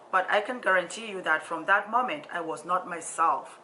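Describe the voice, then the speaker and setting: A woman with an African accent at a fairly quick pace, amid noticeable background noise. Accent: deep African. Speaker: social worker and motivational vlogger. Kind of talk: personal storytelling vlog. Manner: halting, with frequent fillers and repetitions.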